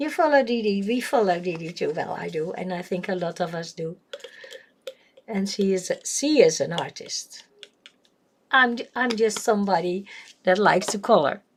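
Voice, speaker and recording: Lively intonation marks this voice with a Dutch accent at a moderate pace. Long pauses come often. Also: woman, medium pitch for a woman. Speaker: coloring livestreamer. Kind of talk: casual livestream chat while coloring. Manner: hesitant, many fillers.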